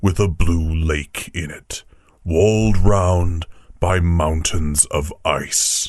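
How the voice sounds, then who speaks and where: This is a man's voice. He is doing a put-on character voice. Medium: read story. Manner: grave, measured, warmly authoritative.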